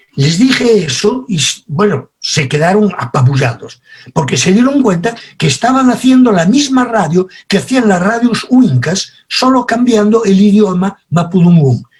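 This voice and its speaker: A man's high-pitched voice with a Spanish accent, very wide pitch swings and very even loudness, at a fairly slow pace. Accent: Spanish (Spain), retained. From Spain. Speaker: communication expert. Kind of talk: lecture.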